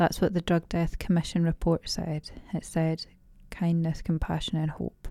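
A woman with a Dundee accent, fairly low in pitch, in a dark, mellow tone with monotone, flat intonation, at a moderate pace, in a dry, close sound with no echo. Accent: Scottish (Dundee). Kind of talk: casual interview chat.

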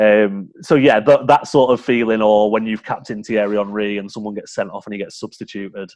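A man with a Yorkshire accent and a fairly low voice talks at a fairly quick pace, his intonation fairly even but with big swings in loudness. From Yorkshire, England. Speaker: fantasy football scout, guest. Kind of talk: casual chat.

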